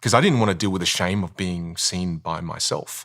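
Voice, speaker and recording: A man with an Australian accent, fairly low in pitch, bright, sharp and animated in tone, at a fairly quick pace on a very clean recording with a silent background. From Australia, Vietnamese-Chinese family. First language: Chinese dialect, then Vietnamese. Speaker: communication coach. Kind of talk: interview.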